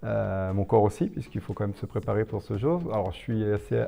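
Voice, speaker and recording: Here a man talks at a fairly quick pace with a fairly low pitch. His tone is dark and mellow, with ordinary pitch variation. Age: 50s. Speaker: ultra-distance runner. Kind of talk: interview. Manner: hesitant, many fillers.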